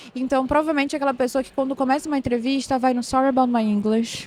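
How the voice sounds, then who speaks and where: Talking at a very fast pace in a high pitch, a woman with a Pará accent is heard over noticeable background noise. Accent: Paraense accent, hissing s (chiado). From northern Brazil, Belém do Pará. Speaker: operations manager at a tech company. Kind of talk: podcast interview. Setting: recorded at a tech conference.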